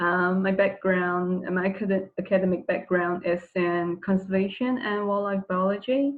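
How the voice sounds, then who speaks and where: A soft-spoken woman at a moderate pace, with ordinary pitch variation. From Brunei. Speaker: marine mammal researcher. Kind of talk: webinar lecture. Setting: online webinar with screen share.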